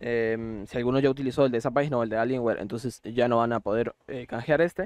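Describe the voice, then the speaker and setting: The sound is dry and close with no echo. A man speaks at a medium pitch with fairly even intonation. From Costa Rica. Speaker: gaming YouTuber. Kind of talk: tutorial. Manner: hesitant, many fillers.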